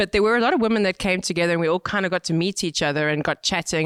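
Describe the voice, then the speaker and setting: A woman speaks with a South African accent and ordinary pitch variation. The very clean recording has a silent background and a dry, close sound with no echo. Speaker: cycling brand marketing manager. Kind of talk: podcast interview. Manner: energetic.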